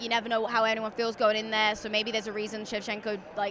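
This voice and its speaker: A woman's fairly high-pitched, very fast speech amid noticeable background noise. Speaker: professional MMA fighter. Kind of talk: interview. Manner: halting, filler-heavy.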